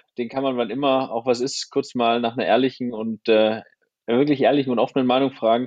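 This man has an unremarkable speaking voice, pitched at a medium level for a man, delivered at a moderate pace with fairly even intonation. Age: 30s. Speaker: photographer and filmmaker. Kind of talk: casual interview.

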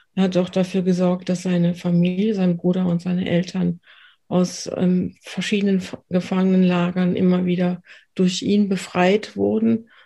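Against a quiet background, a woman speaks at medium pitch and a moderate pace, somewhat breathy, with a dark, mellow tone and monotone, flat intonation. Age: 50s. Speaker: trauma therapist. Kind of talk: interview.

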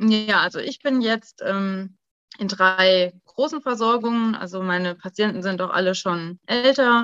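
A woman with a plain, everyday voice speaks at a medium pitch with ordinary variation, recorded dry and close with no echo. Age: 30s. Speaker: pediatric intensive care nurse. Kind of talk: interview.

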